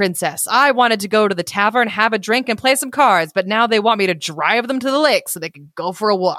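The speaker is reading aloud in a natural voice. The pitch shows ordinary variation.

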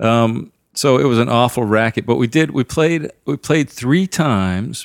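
Very clean, with a silent background and a dry, close sound with no echo, the recording carries a plain, everyday voice at a fairly slow pace with ordinary pitch variation. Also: man. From southern Maine, US. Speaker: singer-songwriter. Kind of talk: casual interview conversation. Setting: living room at home.

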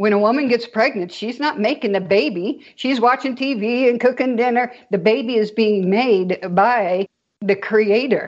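At a moderate speed, a woman talks with an ordinary speaking voice that is fairly high and shows ordinary pitch variation. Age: 60s. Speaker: spiritual experiencer sharing her awakening story. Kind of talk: interview conversation.

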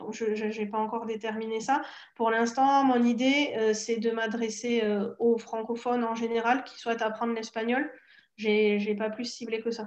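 A woman's fairly high voice with monotone, flat intonation. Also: fairly slow pace. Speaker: Spanish teacher and blogger. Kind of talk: interview. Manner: hesitant, many fillers.

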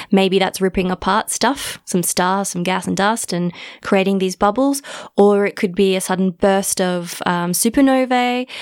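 Recorded dry and close with no echo, a woman talks at a moderate pace with medium pitch, ordinary pitch variation and an ordinary speaking voice. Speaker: podcast host and astronomer. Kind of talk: casual chat.

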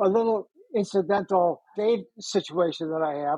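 Here a man speaks in a high voice. His pace is moderate. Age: 70s. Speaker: retired journalism professor. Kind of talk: casual chat. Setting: video call.

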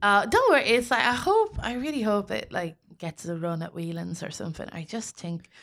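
In a very clean recording with a silent background, a woman talks at a fairly quick pace with big swings in loudness. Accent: Irish Midlands. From Ireland, County Westmeath. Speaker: comedian. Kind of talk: casual chat.

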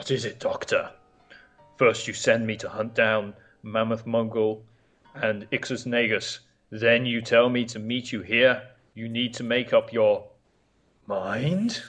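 In a put-on character voice at medium pitch, a man speaks fairly slowly with long, frequent pauses. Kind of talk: comic-book audio drama acting. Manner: impatient, cold, dismissive.

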